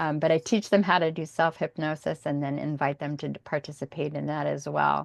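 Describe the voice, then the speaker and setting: The background stays quiet. The talking proceeds fairly quickly. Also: woman. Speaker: hypnotherapist. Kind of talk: talk on hypnotherapy practice.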